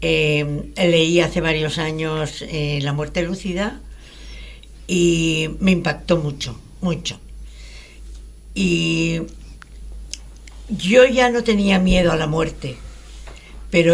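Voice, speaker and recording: Amid audible room echo, a woman with a fairly low pitch speaks at a very slow pace, with long, frequent pauses and ordinary pitch variation. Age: 80s+. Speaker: radio show participant. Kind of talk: radio talk show conversation. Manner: halting.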